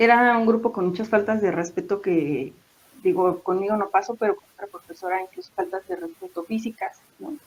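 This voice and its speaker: A woman with an ordinary speaking voice talks at a moderate pace and a medium pitch. Her pitch variation is ordinary, but her loudness swings a lot. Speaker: secondary school teacher. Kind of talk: interview answer, casual talk about teaching experiences.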